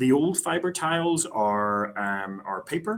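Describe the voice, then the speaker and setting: A man's bright, sharp voice with a Northern Irish accent and lively intonation, on a very clean recording with a silent background. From Northern Ireland, Belfast. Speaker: company executive. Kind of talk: investor presentation. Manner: halting, many filler words.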